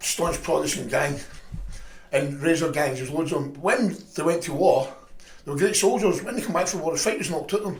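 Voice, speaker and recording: Speaking fairly quickly with a Scottish accent, a man with a high pitch is heard over noticeable background noise and audible room echo. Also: ordinary pitch variation. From Scotland, Lanarkshire mining village. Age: 50s. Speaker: former football hooligan. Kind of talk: casual chat.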